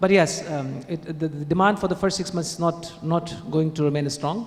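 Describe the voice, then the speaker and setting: Over noticeable background noise, a man with a high voice speaks in a non-native accent. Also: fairly even intonation, moderate pace. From India. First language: not English. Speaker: conference panelist. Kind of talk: panel Q&A answer; conference presentation. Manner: halting.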